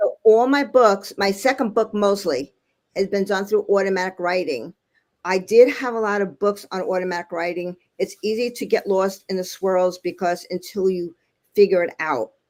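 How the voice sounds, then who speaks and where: A woman with a Brooklyn accent speaks in a medium pitch. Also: ordinary pitch variation, moderate pace. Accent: Brooklyn New York. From Brooklyn, New York. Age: 70s. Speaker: former artist turned real estate leader. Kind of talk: interview conversation. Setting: video call.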